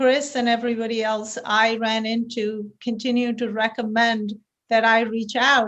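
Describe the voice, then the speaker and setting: Over a quiet background, a woman with an Indian accent speaks at a fairly high pitch in a monotone, flat intonation. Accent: Indian accent, noticeable. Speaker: tech company founder and CEO. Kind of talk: podcast interview.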